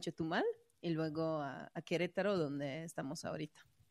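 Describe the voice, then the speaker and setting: A woman speaks with a Mexican accent and ordinary pitch variation. The sound is dry and close, with no echo. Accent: sounds Mexican in Spanish. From Croatia. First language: Croatian (speaking Spanish). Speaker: web3 community organizer. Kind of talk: interview.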